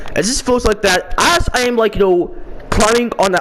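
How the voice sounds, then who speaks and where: A man speaks loudly against noticeable background noise. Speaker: video game streamer. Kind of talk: casual monologue. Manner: halting.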